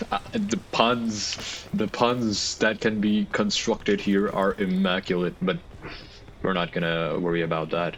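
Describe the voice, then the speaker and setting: Over noticeable background noise, a man with a non-native accent talks at a fairly slow pace and a fairly low pitch, with ordinary pitch variation. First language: not English. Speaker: gaming youtuber. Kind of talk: gameplay commentary. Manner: rambling, halting.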